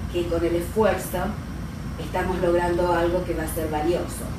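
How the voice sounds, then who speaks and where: Speaking at a fairly slow pace, a woman is heard with audible room echo. Noticeable background noise sits behind her. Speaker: radio show guest or co-host. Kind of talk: interview answer. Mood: calm, reflective. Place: studio.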